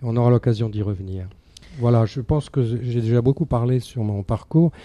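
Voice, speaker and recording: A man with a dark, mellow tone and medium pitch speaks at a fairly quick pace. His pitch varies in an ordinary way on a very clean recording with a silent background. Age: 70s. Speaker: charity volunteer. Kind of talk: radio interview.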